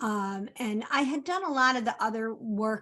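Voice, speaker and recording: Her voice fairly high, a woman speaks in a plain, everyday voice with ordinary pitch variation. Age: 60s. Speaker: coaching client. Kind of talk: testimony.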